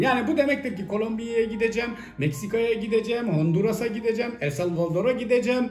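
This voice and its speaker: A man with a high pitch talks at a fairly quick pace amid noticeable background noise and audible room echo. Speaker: YouTuber. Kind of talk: Q&A vlog. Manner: fast.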